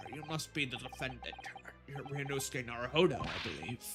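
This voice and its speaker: Putting on a character voice at a fairly high pitch, a man speaks at a fairly quick pace over clear background noise. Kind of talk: formal, polite.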